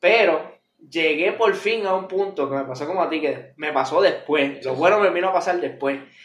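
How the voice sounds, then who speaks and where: Speaking fairly quickly in a Puerto Rican accent, a man sounds animated, with ordinary pitch variation and audible room echo. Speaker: podcast co-host. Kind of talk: casual chat. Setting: studio.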